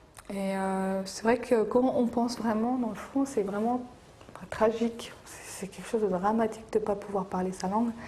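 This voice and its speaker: Noticeable background noise sits under a woman talking at a moderate pace with a fairly high pitch. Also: fairly even intonation, big swings in loudness. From France. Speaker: Kurdish community association member. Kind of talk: documentary interview. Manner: hesitant, many fillers.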